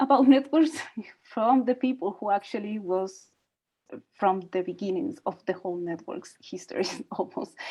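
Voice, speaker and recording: A woman speaks with a Spanish accent at a medium pitch. Her intonation is lively and her pace moderate. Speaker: doctoral researcher. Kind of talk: workshop panel Q&A.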